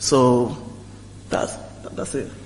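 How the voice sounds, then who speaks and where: A man speaks at a moderate pace in a French accent. Noticeable background noise sits under his voice. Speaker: alumni panelist. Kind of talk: panel discussion. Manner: halting, repeated words.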